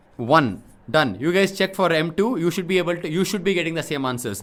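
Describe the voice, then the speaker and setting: Very fast male speech with ordinary pitch variation. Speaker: math teacher. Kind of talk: tutorial.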